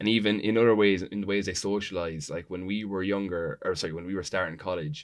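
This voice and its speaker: At a very fast pace, a man with an Irish accent speaks at a very deep, low pitch against a quiet background. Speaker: student union president. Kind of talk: panel discussion.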